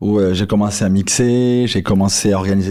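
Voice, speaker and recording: This is a man's voice, fairly low in pitch. Its tone is dark and mellow. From Marseille, southern France. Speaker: entrepreneur. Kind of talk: interview storytelling.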